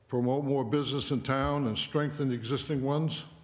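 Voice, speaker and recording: Audible room echo surrounds a man speaking at medium pitch and moderate pace with an American accent. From Maine, US (Limerick). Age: 70s. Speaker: local election candidate, retired professor. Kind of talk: candidate speech at town forum.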